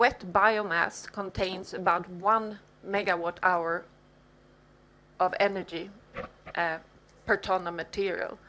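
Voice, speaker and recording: A woman with a bright, sharp tone and medium pitch speaks very slowly in a monotone, flat intonation with long, frequent pauses, in a very clean recording over a silent background. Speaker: professor. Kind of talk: lecture.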